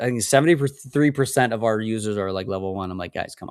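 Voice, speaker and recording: A man is talking. The rise and fall of his pitch is ordinary. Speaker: Pinterest marketing educator. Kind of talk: webinar presentation. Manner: fast; animated.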